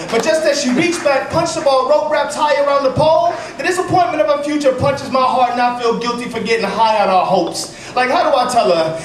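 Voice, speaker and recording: With noticeable background noise behind him, a man talks at a very fast pace with lively intonation. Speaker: slam poet. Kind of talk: slam poetry performance.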